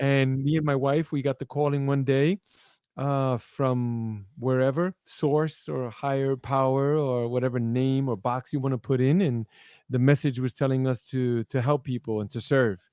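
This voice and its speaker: Recorded with a dry, close sound and no echo, a man with a Brooklyn accent speaks at medium pitch in a dark, mellow tone, with fairly even intonation and a moderate pace. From New York, Brooklyn. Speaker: live show guest. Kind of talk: conversational interview talk. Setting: live broadcast. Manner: halting, with repetitions.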